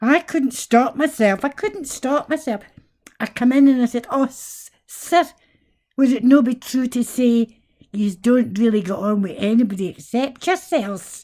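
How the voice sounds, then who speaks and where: With a Scottish accent, a woman speaks fairly slowly in a high pitch, her tone dark and mellow and her intonation lively. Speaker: vlogger. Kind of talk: casual monologue. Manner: animated.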